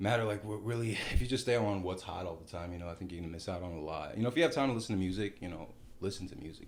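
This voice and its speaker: Someone with an American accent speaks very fast with ordinary pitch variation, with audible room echo. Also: man. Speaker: music producer and recording artist. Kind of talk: casual chat.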